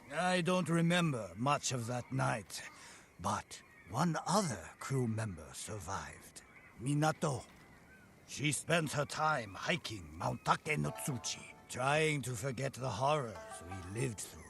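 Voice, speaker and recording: A man uses a put-on character voice at a medium pitch, speaking fairly slowly. Background noise is clearly audible. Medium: video game. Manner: grave, ominous.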